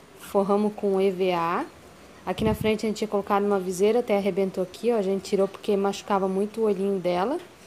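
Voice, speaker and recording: Against light background noise, a woman speaks at a fairly quick pace with a dark, mellow tone and fairly even intonation. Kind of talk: casual vlog chat. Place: street. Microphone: phone near.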